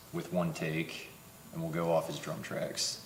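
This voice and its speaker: A man with a central Pennsylvania accent at a moderate pace, amid audible room echo and noticeable background noise. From central Pennsylvania (Tyrone). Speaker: rock band musician. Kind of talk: casual interview.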